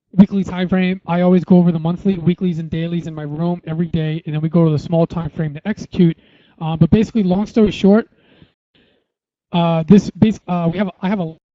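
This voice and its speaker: A man talks at a fairly quick pace in a high pitch, his intonation fairly even. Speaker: forex trader and trading educator. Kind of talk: technical analysis tutorial. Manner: fast; many fillers like uh and um.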